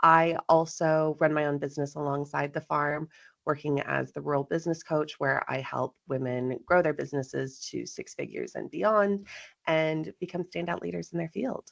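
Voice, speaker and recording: A woman speaks with a slight Texan accent. The sound is dry and close, with no echo. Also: moderate pace. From Texas. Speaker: farmer and business coach. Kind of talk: interview. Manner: animated.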